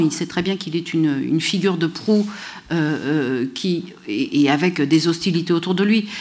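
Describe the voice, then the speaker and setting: A woman talks at a fairly slow pace with lively intonation, with audible room echo around her. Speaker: history professor. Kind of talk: lecture.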